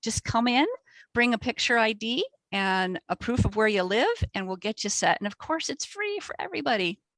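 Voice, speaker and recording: A woman talks with fairly high pitch and lively intonation. The sound is dry and close, with no echo. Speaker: librarian. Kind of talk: webinar interview. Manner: fast.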